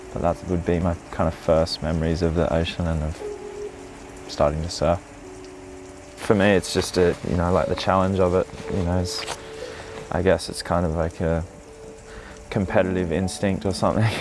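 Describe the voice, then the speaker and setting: Over music in the background, a man with an Australian accent speaks at a very deep, low pitch and a moderate pace. His intonation is fairly even, with long, frequent pauses. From Australia, east coast. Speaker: surfer. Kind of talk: documentary interview.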